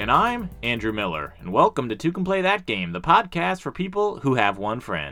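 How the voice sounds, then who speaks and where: Over music in the background, a man talks at a moderate pace with very wide pitch swings and hardly any pauses. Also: medium pitch for a man. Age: 30s. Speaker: board game podcast co-host. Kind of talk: casual chat.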